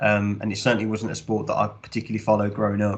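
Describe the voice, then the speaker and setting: A man talks at a very fast pace in a fairly low pitch with vocal fry and a Midlands accent. His intonation is monotone and flat. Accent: Midlands accent, noticeable. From English Midlands, Birmingham. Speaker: sports club commercial director. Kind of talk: podcast interview. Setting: podcast recording.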